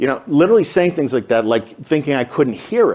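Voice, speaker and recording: With a Boston accent and vocal fry, a man talks at a fairly quick pace, his pitch swinging very widely. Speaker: pharmacist in recovery, speaker. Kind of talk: Q&A talk. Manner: hesitant, filler words.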